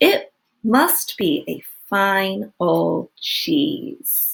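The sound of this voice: Using a put-on character voice, a woman speaks at a very slow pace with a medium pitch, big pitch swings, and vocal fry.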